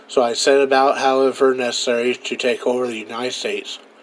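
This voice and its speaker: A man with monotone, flat intonation over noticeable background noise. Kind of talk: old-time radio commentary monologue.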